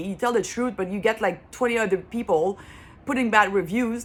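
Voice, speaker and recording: At a fairly quick pace, a woman speaks with a French accent. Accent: French accent, lasting. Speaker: consumer vlogger. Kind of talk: casual vlog monologue. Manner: halting, with repetitions and fillers.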